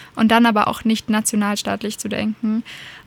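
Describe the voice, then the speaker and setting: Recorded dry and close with no echo, a woman speaks at a fairly high pitch in a somewhat breathy, monotone, flat way. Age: young. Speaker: political activist. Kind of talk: interview.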